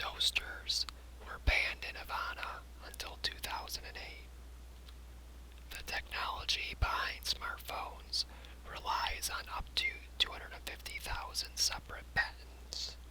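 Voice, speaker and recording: Someone whispers, soft-spoken, at a fairly slow pace with long, frequent pauses. Noticeable background noise sits underneath. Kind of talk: whispered ASMR fact reading. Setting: binaural microphone recording for sleep. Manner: whispered, relaxing, soft.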